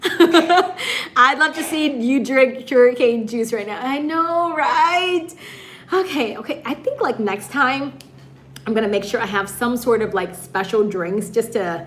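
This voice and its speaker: Speaking with an American accent, a woman talks at a fairly slow pace in a high pitch, her tone animated and her pitch swings very wide. Noticeable background noise runs underneath. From US Midwest, Michigan. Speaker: YouTuber and live stream host. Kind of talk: live stream chat. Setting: live stream.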